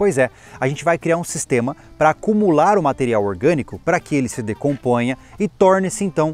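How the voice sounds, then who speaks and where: A man talks at a moderate pace. The sound is dry with no echo, with faint music in the background. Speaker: channel host. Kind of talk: tutorial. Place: open country.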